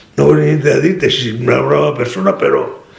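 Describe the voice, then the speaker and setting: A man in a Venetian accent, with noticeable background noise. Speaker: former worker, communist laborer. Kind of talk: interview answer. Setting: at home.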